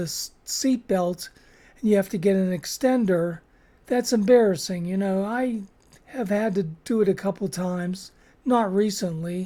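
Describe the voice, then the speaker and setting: With an American accent, this dark, mellow voice moves at a fairly slow pace and shows ordinary pitch variation. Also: woman. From Chicago suburbs. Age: 70s. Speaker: weight loss vlogger, retiree. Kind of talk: casual vlog talk to camera. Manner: hesitant, many fillers (uh, um).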